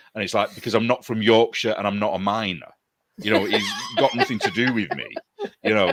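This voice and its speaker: A man speaks with a northern English accent. His pace is fairly quick. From northern England. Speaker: artist and knitting show co-host. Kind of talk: casual chat.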